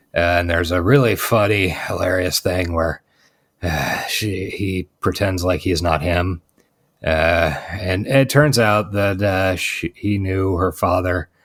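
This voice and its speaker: A put-on character voice, raspy and bored in tone, moves at a fairly slow pace with ordinary pitch variation. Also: man, very deep, low pitch for a man. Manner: sleepy, bored.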